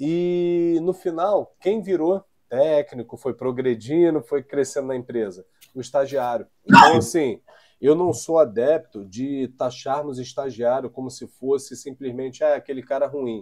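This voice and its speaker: Delivery comes at a fairly slow pace. Pitch varies in an ordinary way. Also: man, fairly high pitch for a man. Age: young. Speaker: podcast host, safety professional. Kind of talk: casual interview chat. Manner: hesitant, many fillers.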